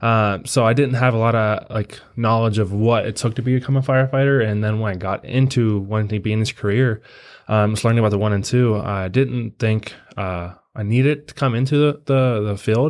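An unremarkable speaking voice from a man with an American accent, medium in pitch, fairly even in intonation, at a fairly quick pace, in a very clean recording with a silent background. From Pennsylvania. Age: 20s. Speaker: firefighter recruit. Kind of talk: casual interview.

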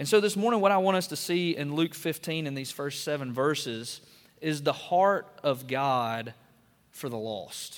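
Lively intonation marks this man's speech in an Alabama accent. He talks at a moderate pace with a fairly high pitch. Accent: Southern US (Alabama). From US South, northwest Alabama. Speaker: pastor. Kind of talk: sermon.

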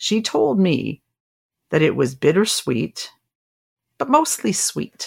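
Very slowly, with long, frequent pauses, a woman speaks. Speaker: podcast host. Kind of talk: scripted podcast narration.

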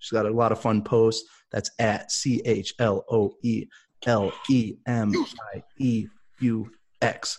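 A man at medium pitch speaks with fairly even intonation in an ordinary speaking voice. The background is quiet. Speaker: co-host. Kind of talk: casual chat.

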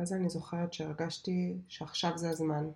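A woman with a fairly low pitch speaks at a moderate pace, her somewhat breathy voice dark and mellow in tone with monotone, flat intonation. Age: 30s. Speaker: podcast host and software developer. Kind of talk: casual monologue.

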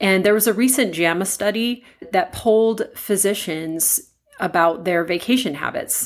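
A woman with a normal speaking voice talks at a moderate pace, her pitch medium and its variation ordinary. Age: 50s. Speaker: podcast host, anesthesiologist and coach. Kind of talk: solo podcast monologue.

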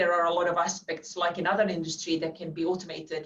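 In a Finnish accent, a woman with a fairly low pitch speaks at a fairly quick pace in a monotone, flat intonation. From Finland. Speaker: financial services executive. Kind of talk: interview. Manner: halting, frequent repetitions.

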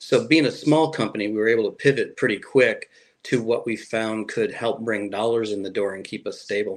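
A man with an American accent speaks in an unremarkable speaking voice at medium pitch. His pitch varies in an ordinary way, and the background is quiet. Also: fairly quick pace. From Chicago area, US Midwest. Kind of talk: interview.

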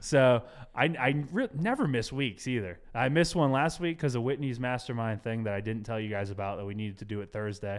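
Hardly any pauses break this man's fairly quick speech, an unremarkable speaking voice at a medium pitch with ordinary pitch variation, in a very clean recording with a silent background. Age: 30s. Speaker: podcast host and real estate business owner. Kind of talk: casual chat. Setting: studio.

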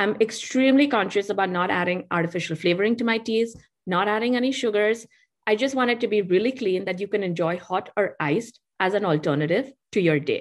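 With an Indian accent, the speaker moves at a fairly quick pace with ordinary pitch variation against a quiet background. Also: woman, medium pitch for a woman. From India (Mumbai). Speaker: tea company founder. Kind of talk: interview. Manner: animated.

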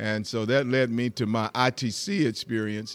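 A man talks with fairly even intonation and a medium pitch. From US South, rural Georgia. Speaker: pastor. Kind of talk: interview. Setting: live at hotel conference.

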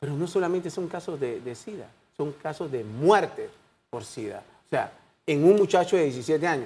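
A man talks at a moderate pace in a dark, mellow tone. His intonation is lively. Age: 60s. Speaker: doctor and HIV foundation president. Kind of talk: TV interview. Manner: halting.

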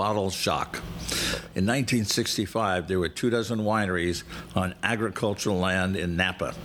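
Against noticeable background noise, a man with a fairly low pitch speaks at a fairly slow pace with ordinary pitch variation. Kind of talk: scripted travel narration, read like an informative mini-lecture. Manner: measured, formal, slightly halting with filler 'uh' hesitations.

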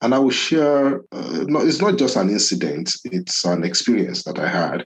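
Vocal fry runs through this man's voice as his pitch swings very widely. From Nigeria, Ibadan (Yoruba). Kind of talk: interview, reflective conversation.

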